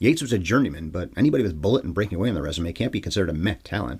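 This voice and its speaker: A man's somewhat breathy voice at a very fast pace, with lively intonation. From Canada. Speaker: film podcast host. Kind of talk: solo podcast film review monologue.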